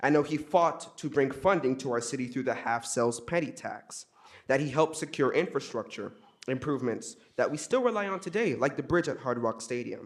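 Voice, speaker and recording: A man with a fairly high pitch and lively intonation, speaking at a fairly quick pace. He has an ordinary speaking voice. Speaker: student speaking at public comment. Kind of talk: public comment speech. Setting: city council meeting. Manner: formal.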